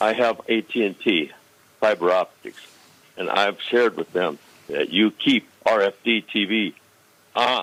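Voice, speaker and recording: A man talks at a fairly slow pace with long, frequent pauses. His pitch is fairly low, with ordinary variation. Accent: American. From northern Illinois. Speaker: caller. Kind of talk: phone-in call.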